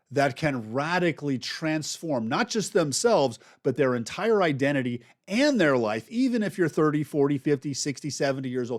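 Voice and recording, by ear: Recorded very cleanly against a silent background, a man talks at a moderate pace with lively intonation and a fairly high pitch.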